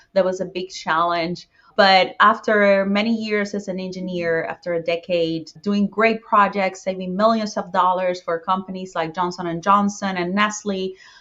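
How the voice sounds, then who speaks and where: A woman's medium-pitched voice in a Spanish accent, with monotone, flat intonation, a moderate pace and hardly any pauses. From Puerto Rico. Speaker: real estate investor. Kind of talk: podcast interview.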